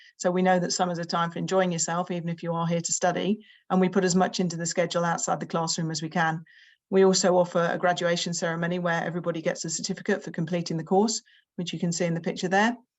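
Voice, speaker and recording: A woman talks at a very fast pace in a fairly low pitch. Her intonation is monotone and flat. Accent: British. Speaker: summer school representative. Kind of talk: presentation. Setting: video call with screen share.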